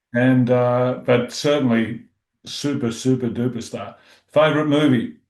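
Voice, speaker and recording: Flat, monotone intonation at a fairly slow pace, with an Australian accent. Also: man, medium pitch for a man. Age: 60s. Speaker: music interviewer. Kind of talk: casual interview chat.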